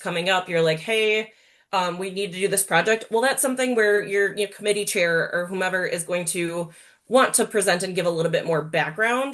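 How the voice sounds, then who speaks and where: A woman speaks in a normal speaking voice, medium in pitch with ordinary pitch variation. Her pace is moderate, and the background is quiet. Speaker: webinar presenter. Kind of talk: Q&A answers; webinar presentation.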